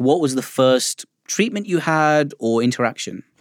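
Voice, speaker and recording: The speech moves at a fairly slow pace. The sound is dry and close with no echo, in a very clean recording with a silent background. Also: man. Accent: British. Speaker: doctor and podcast host. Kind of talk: hosted science podcast, interview.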